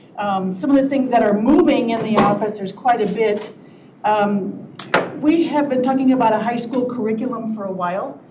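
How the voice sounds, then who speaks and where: Noticeable background noise and audible room echo accompany a woman speaking at a moderate pace and fairly high pitch, with ordinary pitch variation. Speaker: county HR director. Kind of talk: public meeting report.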